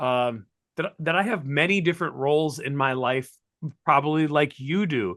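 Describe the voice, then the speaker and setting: This man has an animated tone and a fairly high pitch. His pace is moderate, with ordinary pitch variation. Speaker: chemistry teacher and keynote speaker. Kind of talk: interview conversation. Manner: loud.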